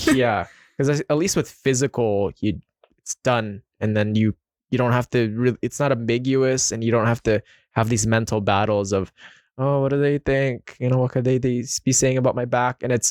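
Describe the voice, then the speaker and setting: In a Filipino accent, a man of medium pitch speaks at a moderate pace with fairly even intonation and a dry, close sound with no echo. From Philippines. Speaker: podcast host. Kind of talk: casual interview chat.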